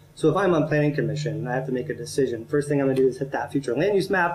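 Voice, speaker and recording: Somewhat breathy and fairly high-pitched, a man with an American accent talks at a very fast pace with ordinary pitch variation. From Central Ohio. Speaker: urban planning consultant. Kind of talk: presentation to city council. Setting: council meeting. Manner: halting, with frequent restarts.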